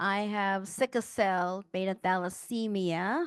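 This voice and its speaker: An ordinary speaking voice with fairly even intonation comes through with a dry, close sound with no echo against a quiet background. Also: woman. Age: 60s. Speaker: patient panelist. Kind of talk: panel discussion.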